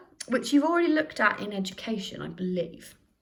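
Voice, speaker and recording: Lively intonation runs through this speech at a moderate pace. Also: woman. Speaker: sociology teacher. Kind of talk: recorded lesson. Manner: loud; conversational.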